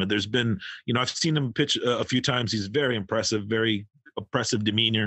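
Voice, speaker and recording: This man has a normal speaking voice with a fairly low pitch. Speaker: podcast host. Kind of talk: casual interview.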